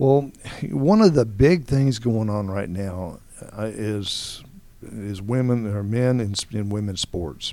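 A man's fairly low voice with ordinary pitch variation, a very slow pace and noticeable background noise. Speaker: radio host. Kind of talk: interview. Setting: studio.

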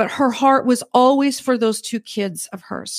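In a very clean recording with a silent background and a dry, close sound free of echo, a woman with an unremarkable speaking voice talks at a moderate pace and a fairly high pitch. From Alberta, Canada. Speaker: financial advisor. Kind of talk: interview. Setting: studio.

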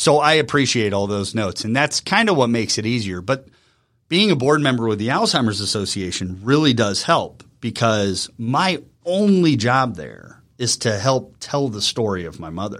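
In a very clean recording with a silent background, a man with an unremarkable speaking voice talks at a moderate pace, medium in pitch, with lively intonation. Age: 40s. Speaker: marketing CEO and former radio personality. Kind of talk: casual interview. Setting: studio.

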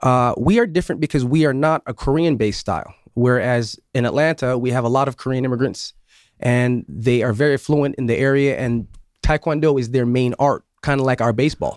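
Here is a plain, everyday voice: a man with an American accent, medium in pitch, talking at a fairly quick pace with ordinary pitch variation. The sound is dry and close with no echo, very clean against a silent background. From New York State, Syracuse. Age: 40s. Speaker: martial arts instructor. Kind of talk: radio interview. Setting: radio studio.

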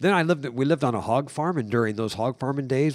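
A man with a Midwestern American accent talks at a very fast pace with ordinary pitch variation. The recording is very clean, with a silent background. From US Midwest, rural northern Indiana. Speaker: contractor and ministry leader. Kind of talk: casual chat. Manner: halting.

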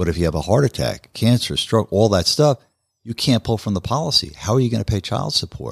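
Lively intonation and vocal fry run through this fairly quick speech, a very clean recording with a silent background and a dry, close sound with no echo. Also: man, fairly low pitch for a man. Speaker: financial advisor. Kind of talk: casual chat. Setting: studio.

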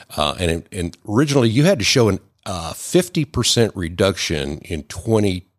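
A man talks at a moderate pace in a fairly low pitch, with lively intonation and a normal speaking voice. The recording is very clean, with a silent background. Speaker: tax credit specialist. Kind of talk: radio interview. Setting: studio.

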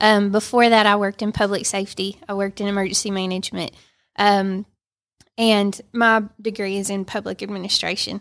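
A woman with a Georgia accent speaks fairly quickly at a medium pitch in a monotone, flat way, in a very clean recording with a silent background. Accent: US Southern (Georgia). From Northwest Georgia, Dalton. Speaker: Red Cross chapter executive director. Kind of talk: casual chat.

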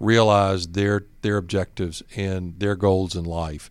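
A Southern US accent comes through at a moderate pace with fairly even intonation. The recording is very clean, with a silent background. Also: man. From Georgia, US South. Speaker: bank executive. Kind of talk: business interview.

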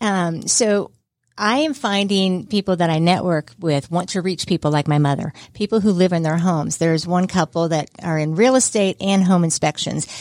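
At a moderate pace, a woman with a fairly low pitch and ordinary pitch variation speaks in an unremarkable speaking voice. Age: 50s. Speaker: senior services manager, former radio presenter. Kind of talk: radio interview. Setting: studio. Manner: chatty.

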